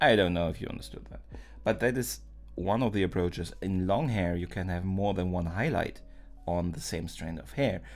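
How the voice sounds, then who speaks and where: A man with a non-native accent and a very deep, low pitch speaks at a moderate pace with lively intonation, amid audible room echo and music in the background. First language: not English. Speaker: art streamer. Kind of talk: live stream drawing tutorial. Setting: live stream, door closed. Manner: halting, many fillers.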